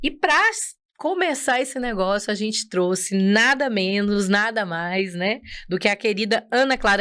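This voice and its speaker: In a plain, everyday voice, a woman speaks at a medium pitch with lively intonation over a very clean recording and a silent background. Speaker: podcast host. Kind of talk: podcast interview.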